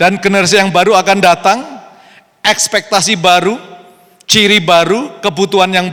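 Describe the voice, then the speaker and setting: Raising and projecting his voice, a man speaks at a high pitch and a moderate pace. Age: 60s. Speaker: pastor. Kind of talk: sermon. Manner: code-switching Indonesian and English.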